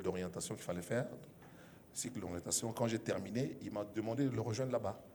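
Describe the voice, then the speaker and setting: Amid audible room echo, a man with a dark, mellow tone and fairly low pitch talks very fast with fairly even intonation. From DR Congo, Kinshasa (Kasa-Vubu area), later Katanga. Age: 60s. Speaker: media personality. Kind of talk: interview. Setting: stage with audience. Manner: hesitant, many fillers.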